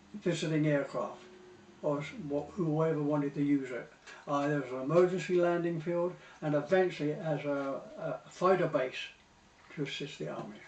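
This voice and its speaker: Fairly high-pitched male speech in a southern English accent, moderate in pace and fairly even in intonation, with long, frequent pauses. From Portsmouth, England. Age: 80s+. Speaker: war veteran. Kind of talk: interview answer.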